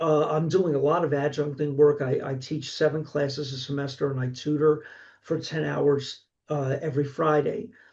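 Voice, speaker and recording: A man speaks with a Philadelphia accent at a moderate pace, his voice somewhat breathy. His pitch sits fairly high, with fairly even intonation. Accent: Philadelphia-area American. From Pennsylvania, Delaware County. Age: 60s. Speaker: horror author and college instructor. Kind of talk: casual interview. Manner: halting, frequent self-repeats.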